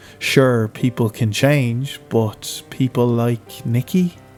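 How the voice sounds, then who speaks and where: Very slow speech from a man with an Irish accent, with music in the background. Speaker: horror narrator. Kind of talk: horror story narration.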